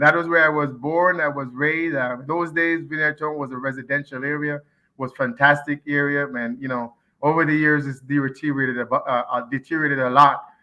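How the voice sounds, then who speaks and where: A man with a Jamaican accent speaks at a fairly quick pace and a fairly high pitch. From Jamaica, Kingston. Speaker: community association president. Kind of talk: interview. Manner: animated.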